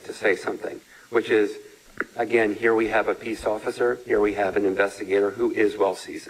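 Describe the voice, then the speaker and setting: Noticeable background noise runs throughout. A man speaks over it at a very fast pace. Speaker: defense attorney. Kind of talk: courtroom argument. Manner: loud.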